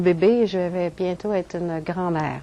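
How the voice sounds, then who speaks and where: A woman speaks at a medium pitch in a dark, mellow tone. Her intonation stays fairly even. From Quebec, French Canada. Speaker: crop circle researcher. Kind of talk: lecture. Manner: halting.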